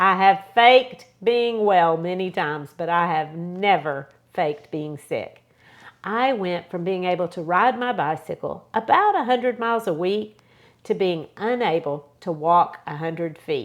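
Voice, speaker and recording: A woman with an unremarkable speaking voice, medium pitch, lively intonation and a fairly slow pace. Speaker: doctor, lifestyle medicine. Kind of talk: personal health talk to camera.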